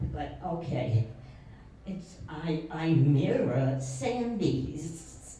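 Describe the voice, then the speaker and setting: Over noticeable background noise and audible room echo, a woman talks with a New York accent and ordinary pitch variation. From New York City, the Bronx. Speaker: senior community resident. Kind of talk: life story interview. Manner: shaky, tremulous.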